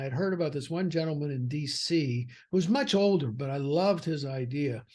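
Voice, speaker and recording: Somewhat breathy and fairly high-pitched, a man speaks at a fairly quick pace with ordinary pitch variation. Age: 60s. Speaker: financial advisor and firm founder. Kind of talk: podcast interview. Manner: conversational with fillers.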